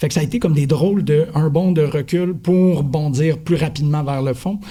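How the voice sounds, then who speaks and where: With noticeable background noise, a man in a Quebec accent speaks at a fairly high pitch with ordinary pitch variation. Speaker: podcast teacher. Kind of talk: panel discussion. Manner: fast; animated.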